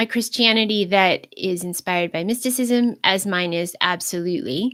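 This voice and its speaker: At a moderate pace, a woman talks at a medium pitch with ordinary pitch variation. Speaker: video blogger on Christianity. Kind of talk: unscripted livestream monologue. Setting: live stream. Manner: halting, self-correcting.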